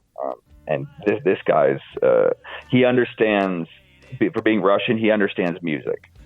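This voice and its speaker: The speech moves at a moderate pace. Behind it, music can be heard. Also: man. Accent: American. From Arizona, US. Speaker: country musician. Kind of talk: interview. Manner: hesitant, many fillers.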